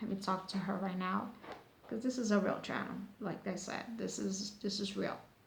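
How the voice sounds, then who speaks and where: A woman with an American accent speaks at a medium pitch in a monotone, flat way. Noticeable background noise and audible room echo come through. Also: moderate pace. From United States. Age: 40s. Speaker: beauty product reviewer. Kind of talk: casual vlog review. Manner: halting, many fillers and repetitions.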